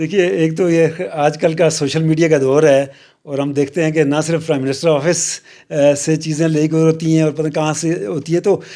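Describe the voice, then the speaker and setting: A man talks at a moderate pace with a fairly high pitch. His tone is dark and mellow, and his intonation fairly even. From Pakistan, hilly region. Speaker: university vice chancellor. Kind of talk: interview. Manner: halting, many filler sounds.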